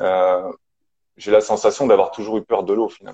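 A man speaks in a dry, close sound with no echo. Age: 40s. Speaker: mental coach. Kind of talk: interview testimony. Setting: video call (Instagram live). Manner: halting.

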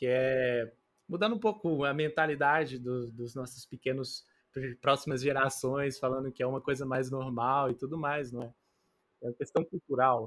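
With a medium pitch, a man talks in a normal speaking voice. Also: ordinary pitch variation, moderate pace, very clean recording, silent background. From Betim, Minas Gerais, Brazil. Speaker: podcast co-host. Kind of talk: interview.

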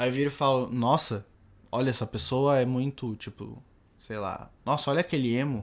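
In a very clean recording with a silent background, a man with an ordinary speaking voice talks at a moderate pace, using a medium pitch and fairly even intonation. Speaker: podcast co-host. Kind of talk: casual chat.

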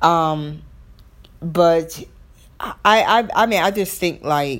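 In a strong, very deep, low voice, a woman with a Southern US accent speaks at a very slow pace. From US South. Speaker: podcast host. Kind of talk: solo podcast monologue.

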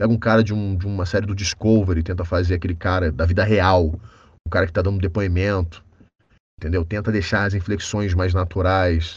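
A man's very deep, low, somewhat breathy voice in monotone, flat intonation, at a fairly quick pace over a quiet background. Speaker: voice actor. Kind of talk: casual chat.

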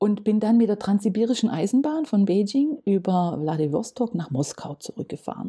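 With a dark, mellow tone and medium pitch, a somewhat breathy woman speaks at a moderate pace with very wide pitch swings. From Germany, Stuttgart area (Swabia). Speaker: municipal economic development officer. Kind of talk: casual interview. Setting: studio, at a table.

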